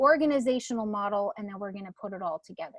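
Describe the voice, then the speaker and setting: This is a female voice. The pitch rises and falls in an ordinary way. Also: dry, close sound with no echo. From Canada. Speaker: real estate trainer. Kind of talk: live online workshop. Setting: live video webinar from home. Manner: animated.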